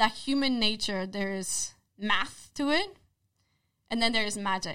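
A woman with a Polish accent talks at a moderate pace in a bright, sharp tone, her pitch fairly high with ordinary variation. The recording is very clean, with a silent background. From Poland. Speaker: social psychologist. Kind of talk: casual interview.

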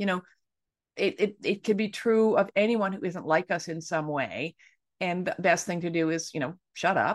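A woman with a normal speaking voice and medium pitch, moderate pace and ordinary pitch variation, against a quiet background. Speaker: author and anti-ageism activist. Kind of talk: interview discussion. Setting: video call.

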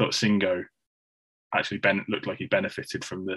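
A man in an English Midlands accent at a very fast pace. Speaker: football podcast co-host. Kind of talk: casual chat. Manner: monotone.

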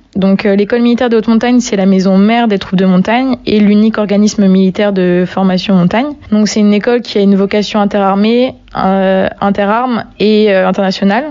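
Against noticeable background noise, a woman speaks fairly quickly with fairly even intonation and very even loudness. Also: medium pitch for a woman. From Brittany, France. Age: 20s. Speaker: army non-commissioned officer. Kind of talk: interview. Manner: hesitant, with frequent fillers.

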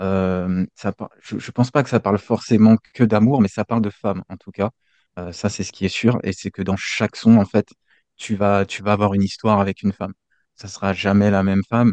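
Monotone and flat, a fairly low male voice speaks at a moderate pace with big swings in loudness and a dry, close sound with no echo. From French Guiana. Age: 20s. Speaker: independent musician. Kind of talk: interview. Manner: halting.

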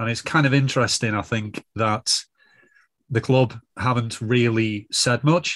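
At a moderate pace, a man with a northern English accent speaks with fairly even intonation against a quiet background. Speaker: football fan pundit. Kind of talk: casual chat.

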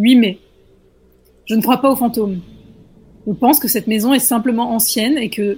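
A woman speaks at a moderate pace in a somewhat breathy voice. Her pitch is fairly high, with ordinary variation. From rural France. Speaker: scriptwriter, podcast panelist. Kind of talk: reading aloud horror stories.

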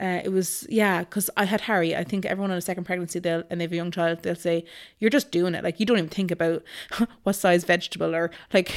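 At a very fast pace, a woman with a fairly low pitch and a western Irish accent speaks with fairly even intonation in a very clean recording with a silent background. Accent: Irish (west of Ireland). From Ireland, Galway. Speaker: mother sharing birth story. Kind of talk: casual interview, personal story.

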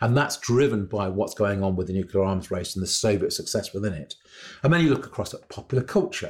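Very fast and somewhat breathy, a man at medium pitch uses very wide pitch swings on a very clean recording with a silent background. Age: 60s. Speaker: historian. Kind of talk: educational discussion. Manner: hesitant, many fillers.

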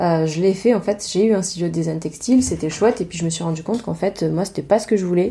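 The voice is dark and mellow yet somewhat breathy, rushing along at a very fast pace with hardly any pauses and ordinary pitch variation. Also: woman, fairly low pitch for a woman. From Provence, southern France. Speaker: podcast host, textile designer and teacher. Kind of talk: casual monologue.

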